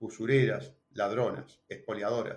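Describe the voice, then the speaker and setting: This somewhat breathy voice has a Uruguayan accent. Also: man. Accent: Uruguayan Rioplatense Spanish. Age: 60s. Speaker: presidential candidate. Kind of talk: interview.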